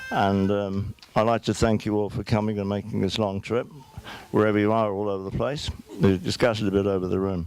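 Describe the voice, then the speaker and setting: Speaking at a fairly quick pace, a man has a fairly low pitch. His intonation is monotone and flat, and there is noticeable background noise. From southeast London. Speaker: father of the groom. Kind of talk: wedding speech. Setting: wedding reception hall with audience. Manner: halting with repetitions.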